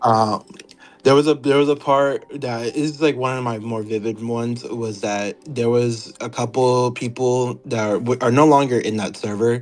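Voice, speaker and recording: A man with a medium pitch talks at a moderate pace, his intonation fairly even, while noticeable background noise plays. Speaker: former server moderator. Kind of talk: interview. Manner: halting, with many fillers.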